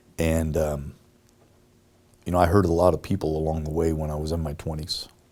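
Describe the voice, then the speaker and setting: Very deep and low, a man's voice has a dark, mellow tone. He talks at a fairly quick pace in monotone, flat intonation. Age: 60s. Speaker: mayoral candidate, former police chief. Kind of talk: interview. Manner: hesitant, many fillers.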